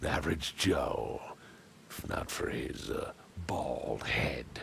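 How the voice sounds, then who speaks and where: In a put-on character voice, a man speaks at a very slow pace over clear background noise. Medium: video game. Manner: blunt, informal.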